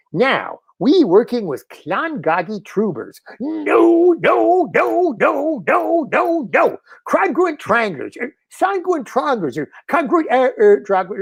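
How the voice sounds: Putting on a character voice, a man speaks at an extremely high pitch. His pace is fairly slow.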